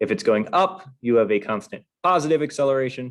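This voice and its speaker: A man in an unremarkable speaking voice keeps a moderate pace with ordinary pitch variation over a quiet background. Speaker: physics teacher. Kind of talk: review lecture.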